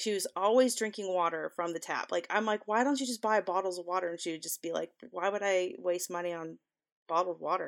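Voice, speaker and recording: Speaking at a moderate pace and medium pitch, a woman has an unremarkable speaking voice with ordinary pitch variation. The recording is very clean, with a silent background. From US South. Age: 40s. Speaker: podcast co-host. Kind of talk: casual chat. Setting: recording from her room.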